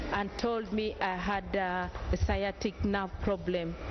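A woman's fairly even intonation comes through over noticeable background noise. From Uganda. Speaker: testifier. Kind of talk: testimony. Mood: earnest, subdued. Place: church. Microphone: handheld.

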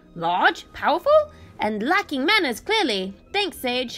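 A put-on character voice swings very widely in pitch at a fairly slow pace. Faint music plays in the background. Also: woman, high pitch for a woman. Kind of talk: dry, polite, with a sarcastic quip.

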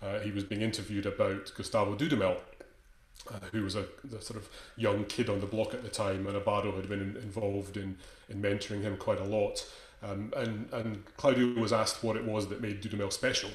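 Speaking at a fairly quick pace, a man keeps a fairly low pitch and a monotone, flat intonation. Audible room echo surrounds his voice. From Scotland. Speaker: conducting teacher. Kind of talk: lecture. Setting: video call. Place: home room. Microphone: video call.

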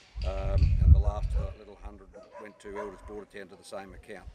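Amid loud background noise, a man talks at a fairly quick pace, the sound dry with no echo. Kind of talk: market report. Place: farm machine.

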